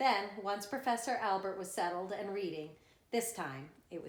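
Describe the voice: The speaker reads aloud plainly, and the pitch rises and falls by an ordinary amount.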